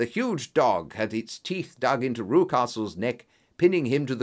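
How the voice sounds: Reading in a natural voice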